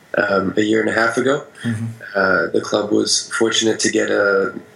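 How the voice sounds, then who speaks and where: A man with an American accent at a medium pitch, set against noticeable background noise. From Vermont, US. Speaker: baseball player. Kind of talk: interview.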